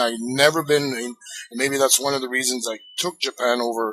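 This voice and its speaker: A man speaks at a medium pitch with noticeable background noise behind him. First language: French. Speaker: retired pro wrestler. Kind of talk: interview.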